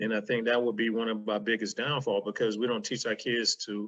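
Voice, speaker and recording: In a Southern US accent, a man with a medium pitch and a bright, sharp tone talks at a moderate pace against a quiet background. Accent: country Southern, a bit street. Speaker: podcast guest. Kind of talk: casual chat.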